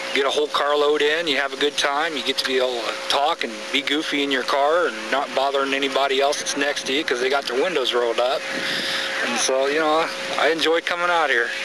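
A man talking at a very fast pace, dry sound with no echo, noticeable background noise behind him. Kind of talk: interview answer. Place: open country.

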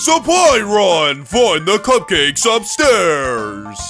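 A put-on character voice speaks at a middle pitch and a very slow pace. Clear music plays in the background. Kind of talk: announcer.

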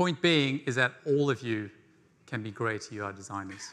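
Bright and sharp in tone, a man with an English accent speaks with lively intonation. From rural England. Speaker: conference speaker, no-code design educator. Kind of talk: conference talk. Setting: stage with audience. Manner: animated. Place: stage.

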